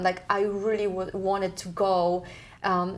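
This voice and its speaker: A woman talks in a Polish accent at medium pitch. Her intonation is monotone and flat, and her pace fairly slow. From Poland. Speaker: community TV host. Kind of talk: casual talk show host.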